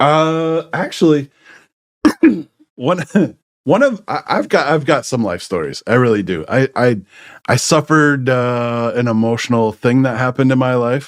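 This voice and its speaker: Speaking at a moderate pace with lively intonation, a man with a medium-pitched voice leaves long, frequent pauses. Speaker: tech services business owner, podcast host. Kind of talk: casual chat.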